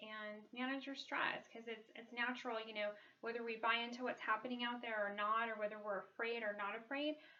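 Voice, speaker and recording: A woman's fairly high, monotone, flat voice at a fairly quick pace with hardly any pauses, over noticeable background noise. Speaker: wellness vlogger. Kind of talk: casual talk to camera. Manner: fast; hesitant, many ums.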